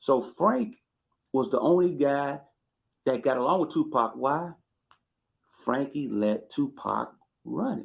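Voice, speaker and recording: With an American accent, a man speaks at a very slow pace and a fairly high pitch, using lively intonation, vocal fry, and long, frequent pauses. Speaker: YouTube commentator. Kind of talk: casual live commentary. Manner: animated.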